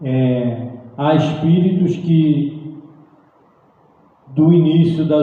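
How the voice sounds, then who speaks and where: Amid noticeable background noise and audible room echo, a man talks at a very slow pace with a fairly high pitch and fairly even intonation. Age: 60s. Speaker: spiritist lecturer. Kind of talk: lecture. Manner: halting, with frequent repetitions.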